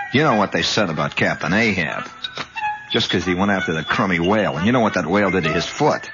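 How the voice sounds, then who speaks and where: A man talks at a very fast pace with ordinary pitch variation. Music plays in the background. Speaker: radio host. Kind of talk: radio monologue storytelling. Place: studio. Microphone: old recording.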